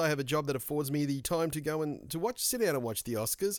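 With an Australian accent, a man talks at a very fast pace on a very clean recording with a silent background. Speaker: podcast host. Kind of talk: casual solo monologue.

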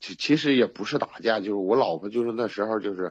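A man talks in a normal speaking voice at a fairly low pitch, with ordinary pitch variation and a fairly quick pace. The background is quiet and the sound dry and close with no echo. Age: 30s. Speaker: caller seeking relationship advice. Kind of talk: personal story told in a call-in advice chat.

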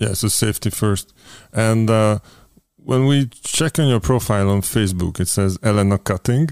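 A man with a Hungarian accent speaks in a fairly low voice with ordinary pitch variation. The recording is very clean and dry, close with no echo and a silent background. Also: moderate pace. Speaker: podcast host. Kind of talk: interview. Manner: halting.

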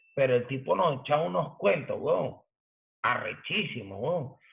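The pace is fairly slow, in a Caracas Venezuelan accent. The intonation is lively. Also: man. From Venezuela, Caracas. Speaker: graffiti artist and hip hop pioneer. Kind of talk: casual chat.

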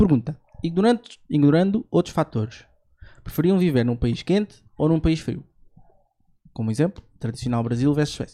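Pausing long and often, a man talks in a fairly high pitch with lively intonation and a dark, mellow tone. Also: moderate pace, dry, close sound with no echo. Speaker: podcast host. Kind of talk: casual chat.

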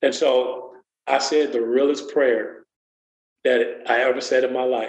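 A man's medium-pitched voice, monotone and flat, at a fairly slow pace with audible room echo. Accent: American. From US Midwest, Waukegan, Illinois. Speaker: motivational speaker and community program coordinator. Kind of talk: personal testimony in interview.

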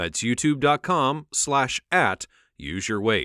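A man's bright, sharp voice with vocal fry, in a dry, close recording with no echo, very clean over a silent background. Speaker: announcer. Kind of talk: scripted radio intro and outro.

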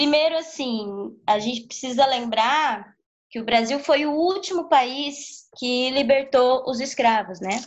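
A woman's high-pitched voice at a very slow pace with ordinary pitch variation. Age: 30s. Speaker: capoeira teacher. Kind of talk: interview. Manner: halting.

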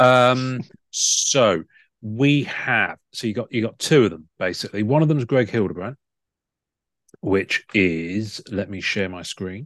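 A man with a British accent at medium pitch, fairly slow, lively in intonation, with big swings in loudness against a quiet background. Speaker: podcast host. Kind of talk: casual chat.

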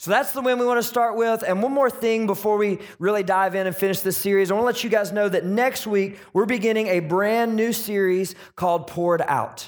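A man's high-pitched, energetic, animated voice at a fairly quick pace. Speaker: pastor. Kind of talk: sermon; pep talk. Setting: church with live congregation. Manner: animated, upbeat, crowd-rallying; loud, energetic.

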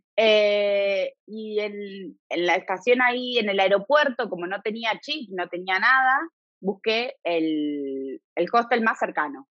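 A woman at a medium pitch speaks at a very slow pace. Her intonation is lively. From Argentina, Buenos Aires (Devoto). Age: 30s. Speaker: emigrant interviewee. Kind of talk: casual interview chat. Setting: remote call.

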